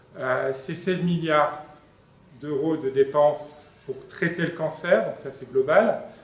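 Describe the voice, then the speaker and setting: Speaking at a very slow pace, a man uses a fairly high pitch, fairly even intonation, long, frequent pauses and big swings in loudness. Audible room echo and noticeable background noise fill the recording. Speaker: nuclear medicine professor. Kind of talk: conference talk. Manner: hesitant with many fillers. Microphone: speaking without a microphone.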